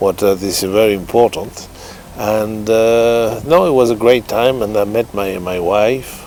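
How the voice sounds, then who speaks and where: Amid noticeable background noise, a man with a French accent speaks at a fairly slow pace. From France. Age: 70s. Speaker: racehorse trainer. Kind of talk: interview. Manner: halting.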